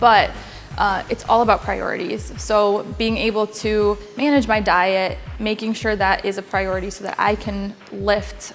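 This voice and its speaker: With music in the background, a woman speaks in an American accent at a moderate pace. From Poland, then Connecticut. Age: 20s. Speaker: powerlifter. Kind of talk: interview monologue.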